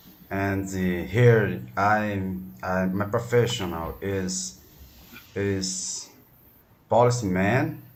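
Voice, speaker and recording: With a Brazilian Portuguese accent, a man speaks at a very slow pace and fairly low pitch, with ordinary pitch variation and audible room echo. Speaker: language student, policeman. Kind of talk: online English lesson. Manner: halting.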